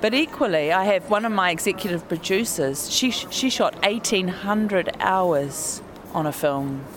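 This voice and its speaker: A woman with a New Zealand accent speaks at a fairly slow pace and medium pitch, her loudness very even and her intonation lively, over noticeable background noise. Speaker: documentary filmmaker. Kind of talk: interview. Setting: hotel lobby.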